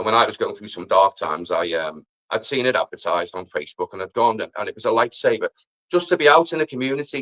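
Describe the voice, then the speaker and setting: With a Liverpool accent, a man speaks at a very fast pace with big swings in loudness, in a dry, close sound with no echo. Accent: Scouse. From Liverpool, England. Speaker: amateur musician and mental health advocate. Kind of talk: live stream interview.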